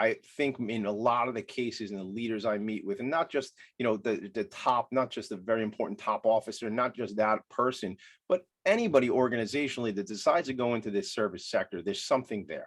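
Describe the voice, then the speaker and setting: Someone with an American accent talks at a very fast pace with ordinary pitch variation. The background is quiet. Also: man, medium pitch for a man. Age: 40s. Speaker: podcast host. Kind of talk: interview conversation. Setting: home attic studio.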